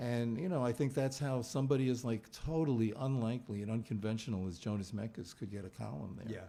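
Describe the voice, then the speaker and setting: Very fast speech comes from a man with an American accent and a medium pitch. His tone is dark and mellow, with ordinary pitch variation. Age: 70s. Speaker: author, film critic. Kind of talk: book event conversation. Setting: bookstore event with audience. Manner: halting, many fillers.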